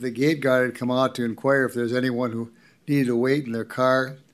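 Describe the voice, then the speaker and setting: A man speaks at a fairly quick pace with an Upper Midwest accent and monotone, flat intonation. The recording is very clean, with a silent background. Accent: Upper Midwest (Minnesota). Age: 80s+. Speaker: resident speaking at public comment. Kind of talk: public comment at county board meeting. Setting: county board meeting room, at podium.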